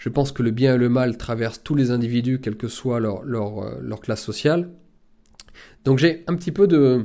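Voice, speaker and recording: The man's tone is dark and mellow, captured in a very clean recording with a silent background. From rural France. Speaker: political commentator and author. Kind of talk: monologue book review.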